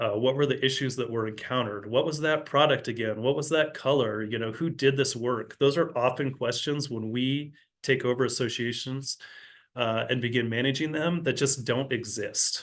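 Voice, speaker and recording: At a moderate pace, a man with a plain, everyday voice speaks in a medium pitch with fairly even intonation, and the background is quiet. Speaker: community management director giving board training. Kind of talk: online training presentation.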